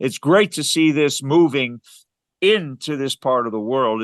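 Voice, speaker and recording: A man with a Canadian accent and an unremarkable speaking voice talks at a moderate pace with lively intonation, the sound dry and close with no echo over a quiet background. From Quebec, Canada. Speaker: philosophy organization host. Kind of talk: casual chat.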